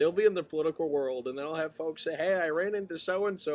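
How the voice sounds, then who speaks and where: A man with a Maine accent talks at a very fast pace. His fairly high pitch keeps a fairly even intonation. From Maine, US. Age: 20s. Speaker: podcast host, student. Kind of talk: interview. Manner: casual.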